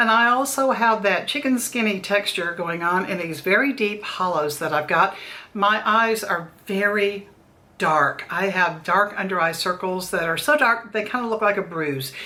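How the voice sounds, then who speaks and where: Over noticeable background noise, a woman of medium pitch speaks at a moderate pace with lively intonation. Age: 60s. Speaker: beauty vlogger. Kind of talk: product review tutorial. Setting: daughter's makeup room, recording video. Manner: conversational, friendly.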